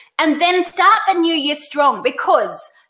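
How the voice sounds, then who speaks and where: A woman with an Australian accent uses a raised, projected voice with a bright, sharp tone. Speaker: webinar host, direct sales trainer. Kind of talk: webinar presentation. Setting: live online webinar. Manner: animated.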